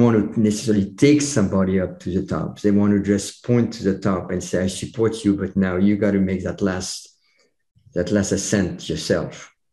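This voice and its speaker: Dark and mellow in tone, the voice carries a French accent and ordinary pitch variation. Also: man. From France. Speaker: chiropractor and public speaker. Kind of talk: podcast interview. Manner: halting.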